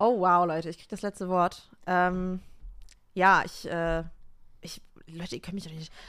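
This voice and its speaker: Recorded very cleanly against a silent background, a woman speaks at a fairly low pitch and fairly slow pace in a monotone, flat voice, with big swings in loudness and long, frequent pauses. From Düsseldorf, Germany. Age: 20s. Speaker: musician and new podcast co-host. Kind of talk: casual chat.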